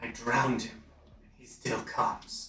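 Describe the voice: A man uses a put-on character voice, raspy and hissing. He speaks at a moderate pace.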